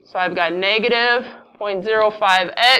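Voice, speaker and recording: Audible room echo surrounds a woman with a fairly high pitch, a bright, sharp tone and fairly even intonation. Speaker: math teacher. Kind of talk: classroom lecture.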